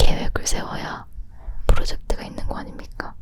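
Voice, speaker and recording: Whispering over noticeable background noise. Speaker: ASMR creator. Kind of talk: ASMR whispered chat. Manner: whispered.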